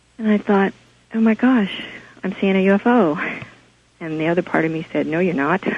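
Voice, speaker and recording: Speaking at a fairly quick pace with an American accent, a woman uses a medium pitch and ordinary pitch variation, taking long, frequent pauses over noticeable background noise. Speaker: caller. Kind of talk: phone-in testimony. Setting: phone call. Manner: soft-spoken.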